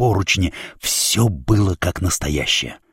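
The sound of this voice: An unforced reading voice carries the words.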